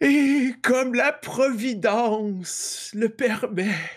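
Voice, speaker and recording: Using a put-on character voice, a man talks at a very slow pace in an extremely high pitch. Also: ordinary pitch variation. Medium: actual play. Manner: solemn, prophetic.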